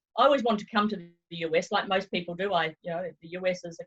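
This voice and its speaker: A woman with a New Zealand accent, medium in pitch and fairly quick in pace, with ordinary pitch variation and music in the background. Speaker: travel consultant. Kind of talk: interview. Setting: video call.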